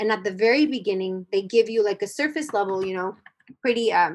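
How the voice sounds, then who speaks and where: A woman with a plain, everyday voice talks at a moderate pace, fairly high in pitch, with ordinary pitch variation. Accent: American. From US-Mexico border. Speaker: singer-songwriter and educator. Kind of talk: casual interview.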